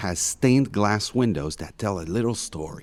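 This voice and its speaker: Fairly slow and fairly low, a man talks with lively intonation in a plain, everyday voice. The recording is very clean, with a silent background. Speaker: audio guide narrator. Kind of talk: scripted narration. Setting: inside a basilica.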